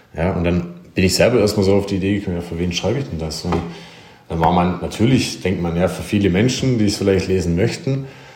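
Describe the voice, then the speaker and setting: At a very fast pace and with ordinary pitch variation, the speech carries audible room echo and noticeable background noise. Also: man, very deep, low pitch for a man. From Germany, small village. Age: 30s. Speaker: former professional handball player, coach. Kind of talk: interview.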